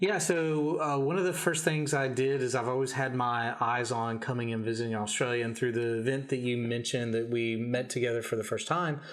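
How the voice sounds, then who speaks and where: A man's medium-pitched voice at a fairly quick pace, ordinary pitch variation, audible room echo and noticeable background noise. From Kentucky, US South. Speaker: entrepreneur, event host. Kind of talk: podcast interview.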